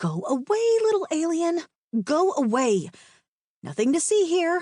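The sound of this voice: A woman speaks at a moderate pace in a put-on character voice pitched extremely high.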